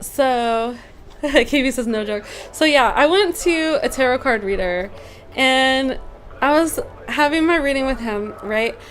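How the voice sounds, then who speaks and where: Noticeable background noise sits behind a woman's high voice. She speaks fairly slowly with lively intonation. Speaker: meditation instructor. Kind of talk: casual live stream chat. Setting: live stream with chat. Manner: soft-spoken.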